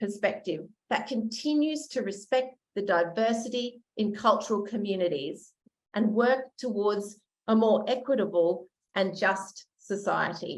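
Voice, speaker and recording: At a fairly slow pace, a woman with a fairly high pitch speaks amid audible room echo. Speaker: education researcher. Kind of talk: conference lecture.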